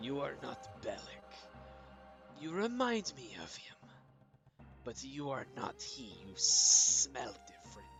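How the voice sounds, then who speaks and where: Faint music plays in the background. The put-on character voice moves at a fairly slow pace. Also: man. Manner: hissing, menacing.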